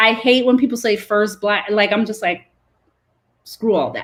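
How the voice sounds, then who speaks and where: Animated in tone, a woman speaks with an American accent. Her pitch is fairly high and varies in an ordinary way. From Brooklyn, New York, Caribbean family. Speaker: food industry advocate. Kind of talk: interview conversation. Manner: loud.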